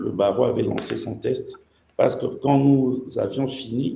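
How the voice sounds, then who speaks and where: A man speaks very slowly amid audible room echo. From DR Congo, Kinshasa. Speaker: lawyer. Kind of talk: interview.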